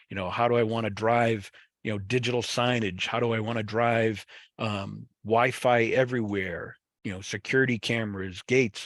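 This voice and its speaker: In a Boston accent, a man speaks at a moderate pace with a medium pitch and monotone, flat intonation. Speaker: webinar presenter on fiber networks. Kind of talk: webinar presentation. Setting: online webinar. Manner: casual, many fillers and restarts.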